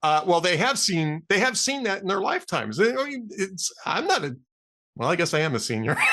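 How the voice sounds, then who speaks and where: A man with an American accent and high pitch speaks at a fairly quick pace in a raised, projected voice, with very wide pitch swings. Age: 60s. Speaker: political talk show host. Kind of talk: interview podcast.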